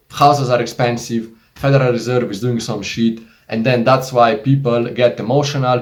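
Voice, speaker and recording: With a Slovenian accent, a man talks at a moderate pace in a somewhat breathy voice of medium pitch. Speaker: investing YouTuber. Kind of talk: casual tutorial monologue. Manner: animated.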